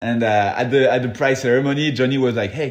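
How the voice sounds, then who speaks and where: A man with a French accent talks at a fairly quick pace, his medium pitch held in fairly even intonation. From France, Paris area (Versailles). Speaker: freeride mountain bike athlete. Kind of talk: casual interview chat. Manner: hesitant, many fillers.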